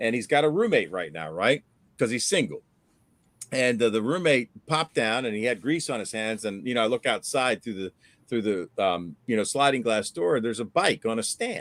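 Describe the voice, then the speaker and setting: On a very clean recording with a silent background and a dry, close sound with no echo, a man with an unremarkable speaking voice talks at a moderate pace, at a medium pitch, with lively intonation. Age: 60s. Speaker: fishing channel host. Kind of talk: casual chat. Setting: live stream.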